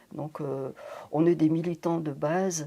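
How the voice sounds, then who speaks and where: Speaking at a fairly slow pace, a woman uses a fairly low pitch, a dark, mellow tone and fairly even intonation. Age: 70s. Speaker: retired teacher, association volunteer. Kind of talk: interview testimony.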